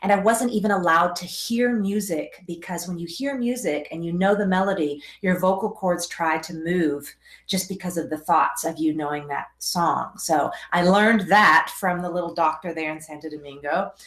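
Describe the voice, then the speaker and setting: A woman with an American accent at a moderate pace, fairly low in pitch with ordinary pitch variation, over noticeable background noise. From Texas. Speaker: professional singer and vocal coach. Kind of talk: online workshop.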